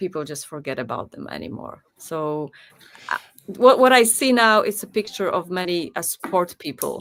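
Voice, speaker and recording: In a Polish accent, the speaker talks at a moderate pace with very wide pitch swings and big swings in loudness. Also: woman, medium pitch for a woman. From Poland. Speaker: singer. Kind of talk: interview.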